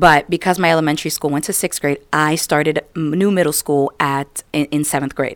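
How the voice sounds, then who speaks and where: A woman with an American accent, very deep and low in pitch, at a moderate pace with hardly any pauses and fairly even intonation, in a dry, close sound with no echo on a very clean recording with a silent background. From United States. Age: 20s. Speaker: podcast co-host. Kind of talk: casual chat; inspirational talk.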